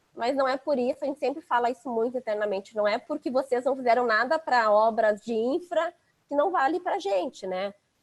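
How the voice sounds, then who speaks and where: Captured with a dry, close sound with no echo, a woman talks at a fairly quick pace in a high pitch with lively intonation. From Rio Grande do Sul, southern Brazil. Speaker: head of innovation at a construction company. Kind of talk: casual chat.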